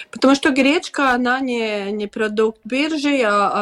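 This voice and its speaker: A woman with a Latvian accent talks at a fairly slow pace. Her pitch varies in an ordinary way over noticeable background noise. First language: Latvian (speaking Russian). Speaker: farmers' organization deputy chair. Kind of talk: radio interview. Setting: video call. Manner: halting.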